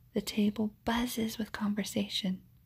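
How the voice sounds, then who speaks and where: Whispering and soft-spoken, the voice moves at a fairly slow pace with a warm, soothing tone. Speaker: ASMR storyteller. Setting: home recording, low lighting, no background noise. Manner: softly spoken, whispery and slow-paced like a lullaby; warm and soothing, with gentle expressive touches like a savoring 'Mmm'. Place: home room. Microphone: phone near.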